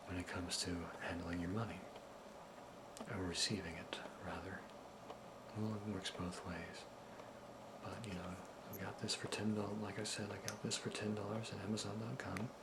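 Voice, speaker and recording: Soft-spoken and with a gentle, nervous tone, a man speaks at a fairly low pitch and a moderate pace with fairly even intonation and long, frequent pauses, with noticeable background noise behind him. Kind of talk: soft-spoken ASMR video with informative demonstration. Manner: soft-spoken, gentle, slightly nervous.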